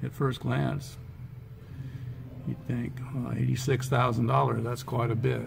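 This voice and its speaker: A soft-spoken man talks at a moderate pace with music in the background. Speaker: vlogger, electric vehicle enthusiast. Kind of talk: vlog. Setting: car dealership showroom. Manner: casual, with filler words.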